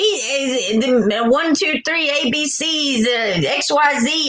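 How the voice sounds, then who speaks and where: A woman's high, raised and projected voice in an animated tone with a Southern US accent, plus audible room echo. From US South. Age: 40s. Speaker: true crime livestreamer. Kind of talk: casual livestream chat.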